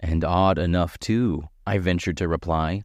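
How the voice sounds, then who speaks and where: A man speaks against a quiet background. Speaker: voice actor. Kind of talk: audiobook narration.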